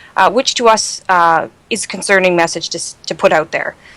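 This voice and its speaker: This woman has a medium-pitched voice with a Canadian accent. Noticeable background noise runs behind her. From Canada. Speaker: toxicology fellow, emergency physician. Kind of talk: medical podcast interview.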